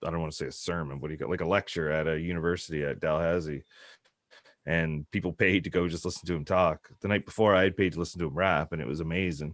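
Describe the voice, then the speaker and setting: In a South Shore Massachusetts accent, a man talks at a very fast pace with a very deep, low pitch. The sound is dry and close with no echo, on a very clean recording with a silent background. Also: fairly even intonation. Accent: South Shore twang. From Nova Scotia South Shore, Canada. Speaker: hip hop artist. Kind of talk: casual interview.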